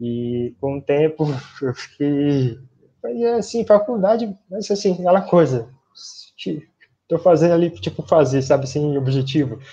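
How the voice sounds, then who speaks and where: Speaking at a fairly slow pace, a man has a fairly high, somewhat breathy voice with very wide pitch swings. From São Paulo city, Brazil. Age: 20s. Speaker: physical education graduate, runner. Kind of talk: casual interview. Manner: halting.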